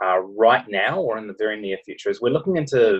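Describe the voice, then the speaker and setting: This man speaks at a fairly quick pace. He has a New Zealand accent. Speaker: medical researcher. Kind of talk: interview. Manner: hesitant, many fillers.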